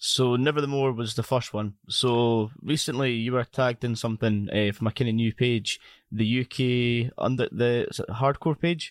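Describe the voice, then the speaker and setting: A man with a Scottish accent, medium in pitch, at a moderate pace with fairly even intonation and hardly any pauses, in a dry, close sound with no echo. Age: 20s. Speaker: podcast host. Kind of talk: casual interview chat. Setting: video call.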